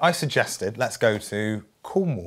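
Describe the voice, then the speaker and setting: Music plays in the background as a man with a British accent swings his pitch very widely. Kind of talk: mock-documentary interview answer.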